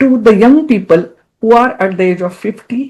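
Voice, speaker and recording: Intonation is lively, set in a dark, mellow tone. Delivery comes somewhat slowly. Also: woman. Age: 70s. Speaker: psychologist. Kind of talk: interview.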